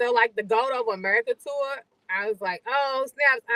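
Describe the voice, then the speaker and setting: With a Louisville accent, a woman speaks in a fairly even intonation. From Louisville, Kentucky. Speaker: podcast co-host and bartender. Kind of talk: casual live-stream chat.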